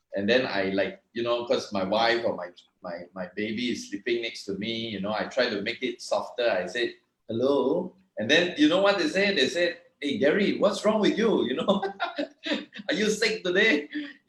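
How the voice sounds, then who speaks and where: Loud and with vocal fry, a man talks at a fairly high pitch and a moderate pace, his pitch swinging very widely. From Malaysia. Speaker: network marketing distributor. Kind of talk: online meeting talk. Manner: energetic.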